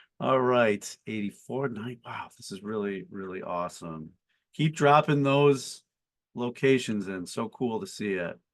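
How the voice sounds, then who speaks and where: A normal speaking voice with an American accent moves at a fairly slow pace, lively in intonation and with big swings in loudness, over a quiet background. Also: man, medium pitch for a man. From Buffalo, New York, US. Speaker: company CEO and founder, webinar host. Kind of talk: webinar panel introduction. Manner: casual with frequent fillers.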